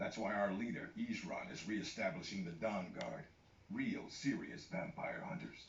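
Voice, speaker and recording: Over clear background noise, a put-on character voice speaks at a moderate pace. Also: man, medium pitch for a man. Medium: video game. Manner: gruff, blunt.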